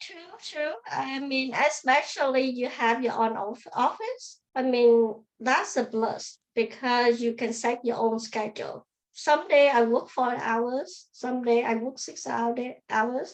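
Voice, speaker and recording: A woman with a high pitch talks at a very slow pace with hardly any pauses and ordinary pitch variation. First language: not English. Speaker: optometrist. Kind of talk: interview. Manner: halting.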